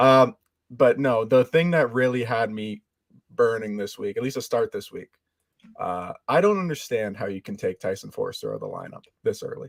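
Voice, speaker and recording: A man speaks at a moderate pace with big swings in loudness. The sound is dry and close, with no echo. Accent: slight Canadian. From Canada. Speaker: podcast guest. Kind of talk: casual chat.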